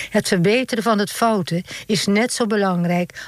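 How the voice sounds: A natural reading voice is heard. That is the whole of it.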